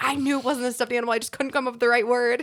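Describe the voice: A female-sounding voice in a put-on character voice comes out raspy and high-pitched. It races at a very fast pace with monotone, flat intonation.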